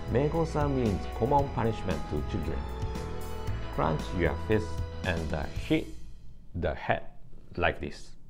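Clear music plays in the background as a man with a Japanese accent speaks at a fairly slow pace in a very deep, low voice, with very wide pitch swings and long, frequent pauses. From Okinawa, Japan. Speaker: language teacher. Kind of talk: language lesson to camera. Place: meeting room. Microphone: phone near.

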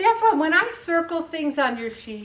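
This woman speaks with an American accent. Her pitch swings very widely. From US Northeast (Syracuse, New York). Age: 70s. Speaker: weight loss group leader. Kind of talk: motivational talk. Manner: animated. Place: hall.

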